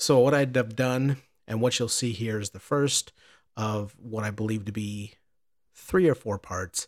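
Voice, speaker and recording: A man with an American accent uses a normal speaking voice at a medium pitch, with ordinary pitch variation and big swings in loudness. He talks at a fairly slow pace on a very clean recording with a silent background. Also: dry, close sound with no echo. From Southern Illinois. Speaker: podcast host in addiction recovery. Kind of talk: personal testimony; scripted narration.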